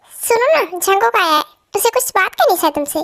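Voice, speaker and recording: In a put-on character voice, the speaker goes squeaky with very wide pitch swings, keeping a fairly quick pace and very even loudness. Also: woman, extremely high pitch for a woman. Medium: fan dub.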